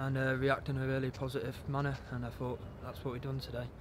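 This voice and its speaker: Over noticeable background noise, the voice sounds dry with no echo and has a monotone, flat intonation. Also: man. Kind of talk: interview answer. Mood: calm, pleased after a win. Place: stadium.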